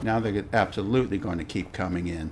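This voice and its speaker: Doing a put-on character voice, a man rasps out words very fast in a very deep, low register, his pitch varying in an ordinary way over clear background noise. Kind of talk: role-play game narration. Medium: solo performance. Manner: casual, musing, conversational.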